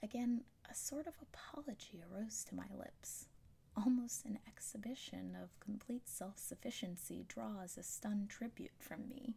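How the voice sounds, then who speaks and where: Soft-spoken, the speech unfolds at a moderate tempo. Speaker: ASMR reader. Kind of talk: audiobook reading.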